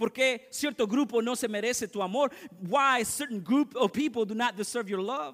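A man speaks at an extremely high pitch. The background is quiet. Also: ordinary pitch variation, fairly quick pace. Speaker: pastor. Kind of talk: fervent bilingual sermon, lines echoed in English and Spanish. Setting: church. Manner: punctuates lines with repeated amens, calling for congregation response. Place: church.

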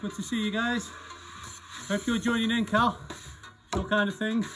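Over clear background music, a man speaks in a raised, projected voice at a fairly slow pace with fairly even intonation. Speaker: fitness instructor. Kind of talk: live workout coaching. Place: garden. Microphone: camera far.

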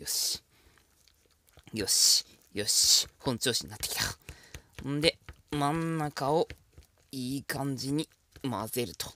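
A man with a bright, sharp tone and fairly high pitch speaks at a very slow pace with long, frequent pauses, in a dry, close sound with no echo. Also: ordinary pitch variation. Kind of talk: ASMR-style cooking tutorial, intimate flirty patter to the viewer. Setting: solo home cooking video, close-mic ASMR. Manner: casual and chatty, stumbling and self-correcting as he cooks one-handed.

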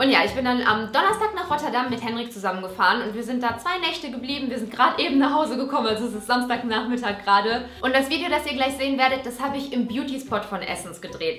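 The speech comes at a very fast pace with hardly any pauses, over light background noise and audible room echo. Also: woman, high pitch for a woman. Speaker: beauty vlogger. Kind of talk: casual vlog chat. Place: home room.

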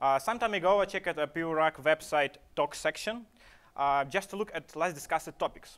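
Speaking at a moderate pace, a man has a fairly high pitch, a clear, smooth and fairly bright tone, and ordinary pitch variation.

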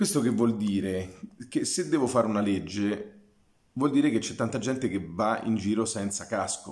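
With a quiet background, a man speaks at a moderate pace and a fairly low pitch, his pitch varying in an ordinary way. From Formello, near Rome; Italy. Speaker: archaeologist. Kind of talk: lecture. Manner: halting. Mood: calm, explanatory. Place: home room. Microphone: webcam.

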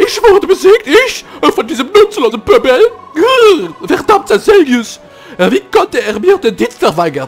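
Music plays behind a put-on character voice at an extremely high pitch. The pace is moderate. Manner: indignant, scornful.

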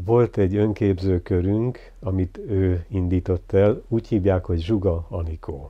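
A somewhat breathy man's voice at a very slow pace, with fairly even intonation and a quiet background. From eastern Hungary, near Debrecen; Hungary. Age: 70s. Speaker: visual artist; interviewee. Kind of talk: life story interview. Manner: reflective. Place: home room.

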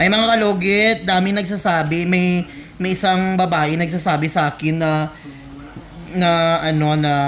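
Loud speech amid noticeable background noise. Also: man. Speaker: nail care vlogger. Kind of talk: casual vlog narration. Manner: animated.

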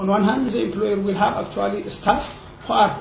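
Light background noise with audible room echo. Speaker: university academic. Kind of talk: seminar presentation. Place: meeting room. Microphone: camera far.

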